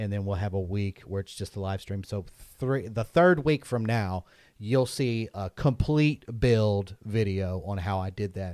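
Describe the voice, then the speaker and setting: A normal speaking voice from a man at a fairly low pitch and fairly slow pace, ordinary pitch variation, in a very clean recording with a silent background and a dry, close sound with no echo. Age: 30s. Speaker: drum podcast host. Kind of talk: casual chat. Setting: live stream.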